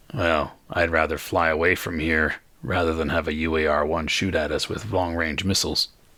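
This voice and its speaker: Putting on a character voice, a man speaks raspy and very deep and low, in a flat monotone at a moderate pace. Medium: actual play. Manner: practical, matter-of-fact.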